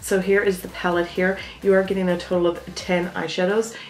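Audible room echo surrounds a woman's fairly low voice. She keeps a moderate pace over faint music in the background. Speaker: beauty vlogger. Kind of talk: casual product review chat. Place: home room.

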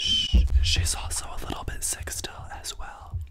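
A soft-spoken man talks at a fairly slow pace over loud background noise. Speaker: video host. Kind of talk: casual vlog chat. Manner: hushed, soft ASMR-style speech. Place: home room. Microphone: studio mic.

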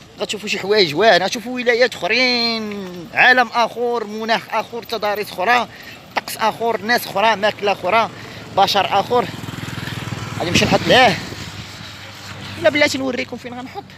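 A man speaks with a high pitch. The recording is dry with no echo, and background noise is noticeable. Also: ordinary pitch variation, moderate pace. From Morocco. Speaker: travel vlogger. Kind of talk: vlog narration. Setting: outdoors. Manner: animated. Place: street. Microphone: phone near.

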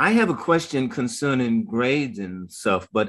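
The man's tone is bright and sharp. The background is quiet. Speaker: professor. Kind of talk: Q&A question. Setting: video call. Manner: halting. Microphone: video call.

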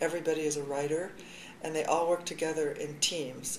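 A woman talks with monotone, flat intonation, with light background noise and audible room echo. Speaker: high school journalism teacher. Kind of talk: interview answer.

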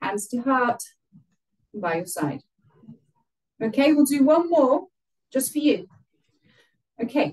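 A woman speaks in a calm, relaxed tone at a high pitch, with very wide pitch swings. She leaves long, frequent pauses against a quiet background. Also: fairly slow pace. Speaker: yoga instructor. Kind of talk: live guided yoga class, calm step-by-step cueing. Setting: video call, online class via headset. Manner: calm, instructive, relaxed and chatty between cues, with light laughs. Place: home room. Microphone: camera far.

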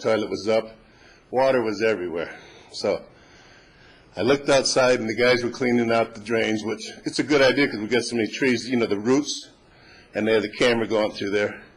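A man's ordinary speaking voice with fairly even intonation. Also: medium pitch for a man, fairly quick pace. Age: 60s. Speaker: resident speaking at public comment. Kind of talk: public comment at council meeting. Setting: city council meeting. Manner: conversational, somewhat rambling.

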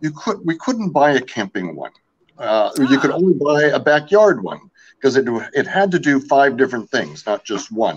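Vocal fry with very wide pitch swings. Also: man, moderate pace. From US West Coast, French-Canadian family. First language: French. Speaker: outdoor gear company founder. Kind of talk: casual interview. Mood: relaxed, friendly. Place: home room.

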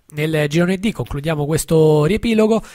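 In a plain, everyday voice, a man talks at a fairly high pitch and a moderate pace with ordinary pitch variation. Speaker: radio host. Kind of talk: sports results reading. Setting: studio.

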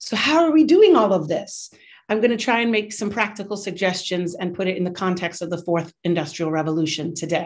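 Over a quiet background, a woman with an American accent speaks at a fairly quick pace with ordinary pitch variation. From United States. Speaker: university professor and teaching center director. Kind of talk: lecture. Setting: video call.

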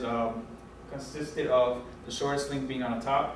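There is audible room echo and light background noise as a man talks in a monotone, flat intonation. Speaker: presenter. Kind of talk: class presentation. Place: classroom. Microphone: camera far.

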